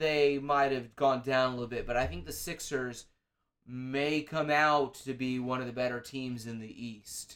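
At a fairly slow pace, a man talks in an unremarkable speaking voice with a medium pitch. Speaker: sports analyst on comedy podcast. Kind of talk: satirical comedic banter. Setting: studio.

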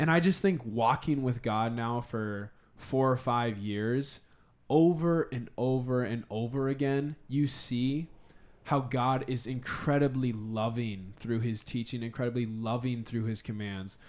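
A man with an American accent, medium pitch and ordinary pitch variation, an ordinary speaking voice at a fairly slow pace. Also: very clean recording, silent background. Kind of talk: casual chat.

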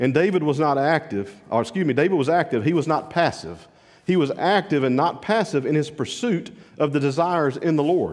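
A man's fairly high voice with vocal fry, very even loudness, ordinary pitch variation and a fairly quick pace. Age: 50s. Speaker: pastor. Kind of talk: sermon.

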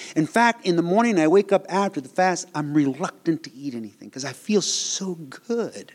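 At a moderate pace, a man with a high pitch uses lively intonation and big swings in loudness. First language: not English. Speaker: preacher. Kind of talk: sermon. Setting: church.

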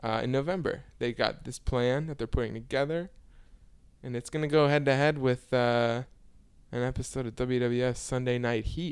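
An unremarkable speaking voice from a man with an American accent, medium pitch, fairly even intonation and a moderate pace. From Chicago area, Illinois. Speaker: podcast co-host. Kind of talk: casual chat.

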